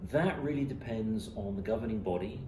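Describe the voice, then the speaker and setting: A man speaks at a moderate pace with ordinary pitch variation. There is audible room echo and noticeable background noise. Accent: English. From England. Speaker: commercial airline pilot. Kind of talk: interview. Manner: hesitant, many fillers.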